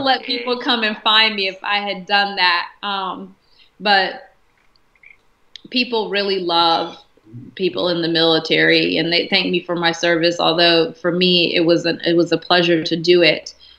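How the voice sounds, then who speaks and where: This woman has a plain, everyday voice pitched fairly low. She speaks at a moderate pace with ordinary pitch variation. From South Carolina. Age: 20s. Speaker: congressional candidate and army veteran. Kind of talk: interview answer.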